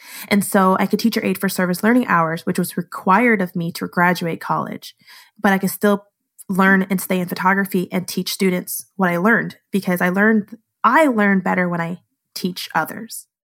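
This is an unremarkable speaking voice at a moderate pace. The intonation stays fairly even. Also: woman, medium pitch for a woman. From Southern California, then Naples, Florida from mid high school. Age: 30s. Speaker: photographer. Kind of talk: casual chat.

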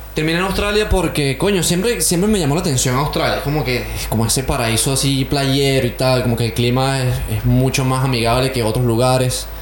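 A man speaks at a fairly quick pace with ordinary pitch variation and very even loudness. Noticeable background noise runs underneath. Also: medium pitch for a man. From Venezuela (Caracas). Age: 20s. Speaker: musician, drummer. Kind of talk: interview.

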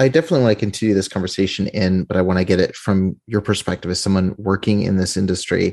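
A man with a fairly low voice talks at a very fast clip with hardly any pauses, his loudness very even and his pitch moving in an ordinary way over a quiet background. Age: 20s. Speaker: podcast host. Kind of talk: interview; scripted intro.

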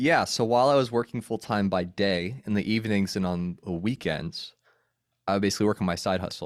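A man with an American accent and a normal speaking voice talks at a fairly quick pace and fairly low pitch. Ordinary pitch variation comes through on a very clean recording with a silent background. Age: 30s. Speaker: podcaster and former campus minister. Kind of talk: casual interview.

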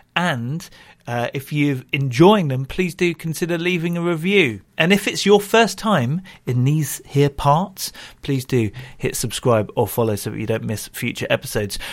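In a very clean recording with a silent background, a man with a normal speaking voice talks at a moderate pace, his fairly high pitch carried by lively intonation. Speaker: podcast host. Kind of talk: casual interview with ad reads.

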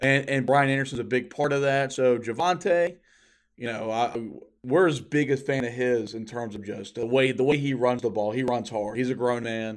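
A man talks at a moderate pace in a plain, everyday voice. His medium pitch has ordinary variation, and the recording is very clean with a silent background. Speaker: podcast co-host. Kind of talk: casual sports chat.

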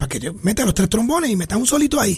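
Very fast male speech full of lively intonation. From Puerto Rico, Trujillo Alto. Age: 60s. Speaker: trombonist. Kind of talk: radio interview. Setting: radio studio.

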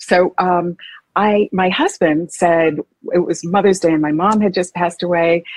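At a moderate pace, a woman with an American accent speaks in a normal speaking voice, fairly low in pitch, with ordinary pitch variation. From Massachusetts. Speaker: historical fiction novelist. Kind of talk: interview.

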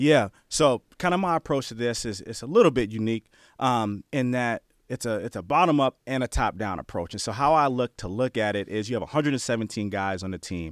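A man with an American accent and a plain, everyday voice speaks at a fairly quick pace with a medium pitch and lively intonation. The very clean recording has a silent background and a dry, close sound with no echo. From New Jersey, then Bay Area, California. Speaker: former college football player, player development director. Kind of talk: interview.

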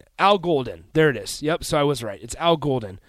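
Here a man talks at a fairly quick pace in a plain, everyday voice. His pitch is fairly high, and the recording is very clean with a silent background. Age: 20s. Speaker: sports radio host. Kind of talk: sports talk radio. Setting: radio studio.

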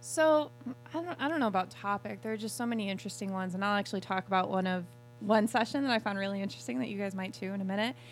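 Talking at a very fast pace, a woman uses a medium pitch with very wide pitch swings. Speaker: human factors practitioner. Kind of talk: casual chat. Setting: studio.

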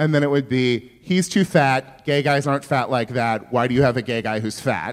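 A man with an American accent talks at a moderate pace with hardly any pauses, using a medium pitch and ordinary pitch variation. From rural Northern California. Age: middle-aged. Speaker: comedian and writer. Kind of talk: live interview before audience. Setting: stage with audience.

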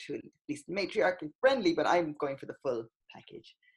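Speaking in an Irish accent, a woman talks at a moderate pace. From Ireland, countryside. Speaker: poet and artist. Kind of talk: casual interview chat.

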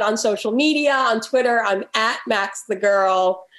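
With an American accent, a woman speaks in an ordinary speaking voice, her pitch fairly high and her pitch variation ordinary. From New York. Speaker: magazine editor and film critic. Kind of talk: interview.

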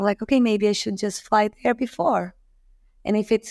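A woman talks with a Portuguese accent at a fairly high pitch. The recording is very clean, with a silent background. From Brazil, Rio de Janeiro. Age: 30s. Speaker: professional kiteboarder. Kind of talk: casual interview.

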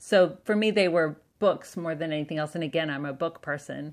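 An ordinary speaking voice from a woman with an American accent, fairly low in pitch with ordinary pitch variation. The recording is very clean with a silent background. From US South and Southwest, Canadian family. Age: 40s. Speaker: writer and political organizer. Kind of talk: interview.

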